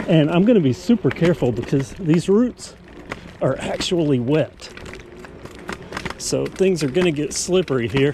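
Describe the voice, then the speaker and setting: With noticeable background noise behind him, a man speaks at a fairly high pitch and fairly slow pace. His intonation is lively, and his pauses are long and frequent. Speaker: e-bike reviewer. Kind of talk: casual ride-along commentary. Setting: outdoors on mountain bike trail.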